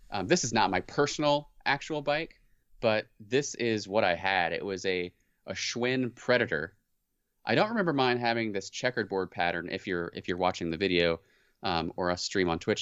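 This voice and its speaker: At a moderate pace, a man with a plain, everyday voice and fairly low pitch speaks with lively intonation. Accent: American. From US Midwest and South. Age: 30s. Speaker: podcast co-host. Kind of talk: casual chat. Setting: remote call.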